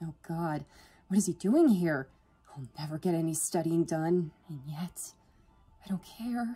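A woman's put-on character voice, low-pitched, dark and mellow in tone with a slightly husky edge, lively intonation at a fairly slow pace, faint music in the background

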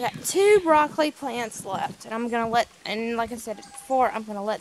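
At a moderate pace with hardly any pauses, the voice makes big swings in loudness and ordinary pitch variation, in a dry sound with no echo and light background noise. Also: woman. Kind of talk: casual vlog chat. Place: garden. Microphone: phone near.

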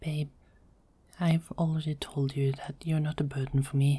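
A soft-spoken woman talks at a fairly slow pace, her very deep, low pitch staying monotone and flat. Her tone is dark and mellow, and somewhat breathy. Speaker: ASMR roleplay voice artist. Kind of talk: ASMR girlfriend roleplay. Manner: soft-spoken, calming.

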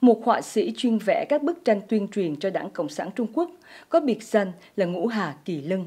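At a moderate pace over a quiet background, a woman with a medium pitch and a dark, mellow tone lets her pitch swing very widely. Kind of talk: news reading. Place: studio.

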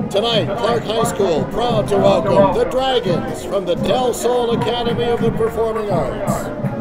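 Loud music plays in the background as a man speaks fairly slowly with hardly any pauses. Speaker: high school football PA announcer. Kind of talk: stadium pregame announcement. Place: stadium.

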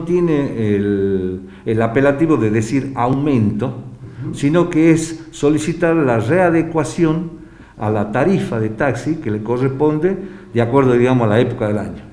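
Speaking at a fairly slow pace, a man with a fairly high voice uses lively intonation amid audible room echo. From Argentina. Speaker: taxi drivers' union official. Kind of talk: news interview statement. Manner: halting, many fillers. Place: studio.

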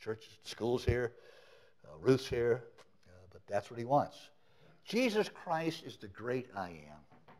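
A man with vocal fry talks at a very slow pace with long, frequent pauses. His voice has very wide pitch swings and big swings in loudness. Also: medium pitch for a man. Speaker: preacher. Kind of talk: sermon. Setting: church. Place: church. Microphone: podium.

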